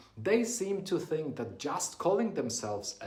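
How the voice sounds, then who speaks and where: Audible room echo follows a man as he speaks at a fairly slow pace. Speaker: business coach. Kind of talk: talking-head tutorial.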